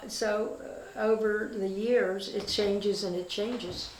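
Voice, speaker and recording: A woman talks at a fairly slow pace in a fairly high pitch. Her intonation is monotone and flat, and there is audible room echo. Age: 80s+. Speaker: retired real estate agent. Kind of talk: casual interview. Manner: halting.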